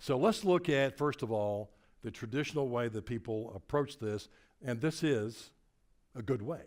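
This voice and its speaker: Lively intonation from a man at a medium pitch and moderate pace, on a very clean recording with a silent background. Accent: Tennessee. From Tennessee. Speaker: motivational speaker. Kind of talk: keynote presentation. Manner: animated.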